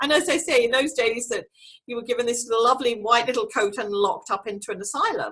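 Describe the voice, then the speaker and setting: Talking at a very fast pace in an English accent, a woman has a high pitch, a bright, sharp tone, and ordinary pitch variation. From England. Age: 60s. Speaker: clairvoyant and medium. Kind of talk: interview.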